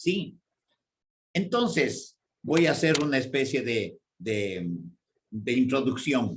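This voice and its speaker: A man's medium-pitched voice with vocal fry and lively intonation, at a very slow pace with long, frequent pauses. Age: 70s. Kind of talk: radio catechesis talk.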